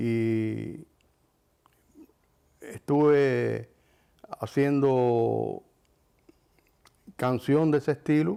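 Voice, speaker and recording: Pausing often and at length, a man speaks very slowly. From Cuba, Artemisa. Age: 70s. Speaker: film director and musician. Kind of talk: interview testimony. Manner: hesitant, with fillers.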